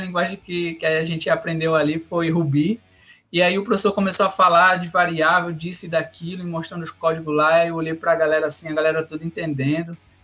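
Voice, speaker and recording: A man's high voice, bright and sharp in tone, at a very fast pace with monotone, flat intonation. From Brazil, Rio Grande do Norte. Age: 30s. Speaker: software developer. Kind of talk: interview. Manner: halting, many fillers and repetitions.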